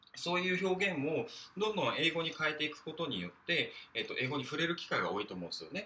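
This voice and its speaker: Over noticeable background noise, a man talks at a very fast pace, his high pitch showing ordinary variation. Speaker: podcaster. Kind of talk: solo monologue. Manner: hesitant, many fillers.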